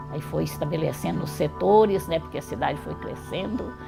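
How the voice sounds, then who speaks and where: This is a woman speaking. Music plays in the background. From Minas Gerais, Brazil. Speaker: retired teacher and historian. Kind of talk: oral history interview answer.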